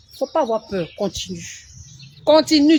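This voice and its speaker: Noticeable background noise fills the clip. Through it, a woman is heard talking. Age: 40s. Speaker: beauty influencer. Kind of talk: live stream tutorial. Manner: slow with pauses.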